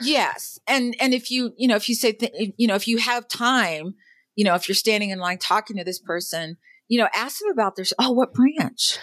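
Her voice is an unremarkable speaking voice: a woman with a fairly high pitch and ordinary pitch variation, talking at a fairly quick pace, with a dry, close sound with no echo on a very clean recording with a silent background. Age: middle-aged. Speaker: military veteran. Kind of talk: interview.

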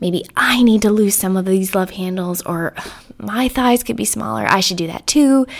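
A woman speaks at a moderate pace with an unremarkable speaking voice. Her pitch is medium, with ordinary variation. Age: 30s. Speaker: podcast host and neuroscientist. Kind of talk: solo monologue. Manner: casual, with frequent repetitions.

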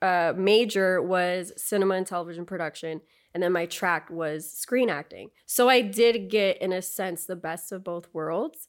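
This is a normal speaking voice with ordinary pitch variation. The pace is fairly slow. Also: woman. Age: 30s. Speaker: actress and filmmaker. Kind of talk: casual chat.

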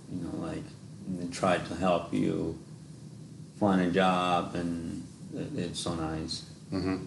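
Over noticeable background noise, a man with a Mexican accent and a very deep, low pitch speaks at a very slow pace with long, frequent pauses. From Mexico. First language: Spanish. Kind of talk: casual interview. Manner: halting, non-fluent English.

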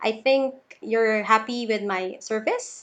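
A woman speaks at a fairly slow pace. Her intonation stays flat and monotone. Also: quiet background. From Philippines, Davao City. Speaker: virtual assistant, former banker, mother. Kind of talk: interview. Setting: remote call. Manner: halting.

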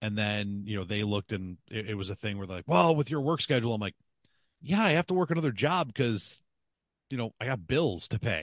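Over a quiet background, a man with a Western New York accent speaks at a fairly quick pace in a fairly low voice with very wide pitch swings and a dry, close sound with no echo. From Buffalo, western New York. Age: 40s. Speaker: podcaster and sports broadcaster. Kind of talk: casual chat. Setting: video call.

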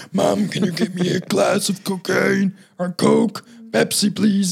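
Pitched high, a man puts on a character voice. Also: fairly slow pace.

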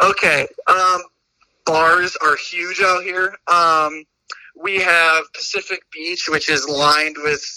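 Speaking very slowly in a high pitch, a man with an American accent keeps a monotone, flat intonation. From US Midwest, Indiana / Chicago area. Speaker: podcast guest, student. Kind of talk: casual chat.

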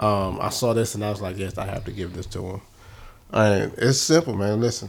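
A man talks loudly at a moderate pace. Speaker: podcast co-host. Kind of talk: casual chat. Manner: animated.

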